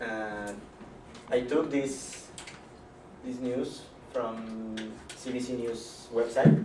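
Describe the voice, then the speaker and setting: Amid noticeable background noise and audible room echo, a man speaks at a medium pitch. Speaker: student speaker. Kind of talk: class presentation. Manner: halting.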